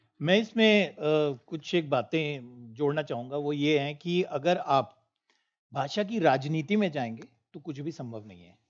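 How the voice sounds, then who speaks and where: In a quiet background, a man with a fairly high pitch talks with lively intonation and big swings in loudness. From northern India, Punjabi-speaking. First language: Punjabi (speaking Hindi). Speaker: panel speaker. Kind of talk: panel discussion. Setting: auditorium, online broadcast.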